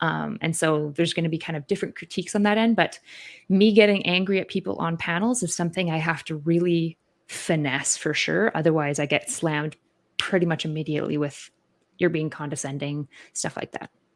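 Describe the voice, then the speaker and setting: With ordinary pitch variation, a normal speaking voice moves along at a fairly quick speed. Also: woman, fairly low pitch for a woman. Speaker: online debater. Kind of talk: casual discussion. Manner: filler-heavy, uses 'like' and 'um' constantly.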